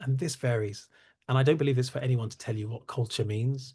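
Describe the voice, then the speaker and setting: A dark, mellow, somewhat breathy tone with fairly even intonation against a quiet background. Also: man. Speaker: cybersecurity company CEO and founder. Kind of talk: webinar presentation. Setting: online webinar. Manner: fast; halting, many fillers.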